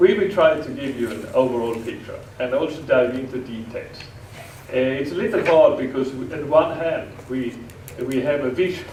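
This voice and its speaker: Someone with a Swedish accent talks at a moderate pace with ordinary pitch variation, amid noticeable background noise and audible room echo. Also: man. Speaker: software engineering pioneer, speaker. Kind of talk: conference presentation.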